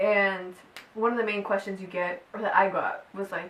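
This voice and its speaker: A woman speaks as noticeable background noise carries on behind her. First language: Spanish. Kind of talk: personal testimony vlog. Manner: animated, casual.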